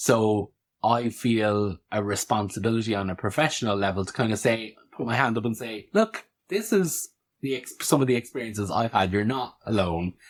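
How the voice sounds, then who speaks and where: A man speaks with an Irish accent at medium pitch and a moderate pace, with ordinary pitch variation. The recording is very clean, the background silent. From rural Ireland. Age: 30s. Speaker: podcast host and practitioner. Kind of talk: interview, guest seat.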